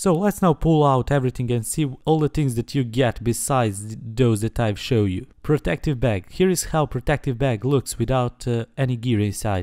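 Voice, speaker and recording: A dark, mellow voice with a non-native accent at a moderate pace, hardly any pauses, and a dry, close sound with no echo. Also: man, medium pitch for a man, lively intonation. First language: not English. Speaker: tech reviewer. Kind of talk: product review. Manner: hesitant, many fillers.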